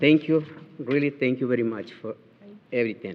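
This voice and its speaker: This man has a Spanish accent. He talks at a moderate pace. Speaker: resident speaking at county meeting. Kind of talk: public comment. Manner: halting.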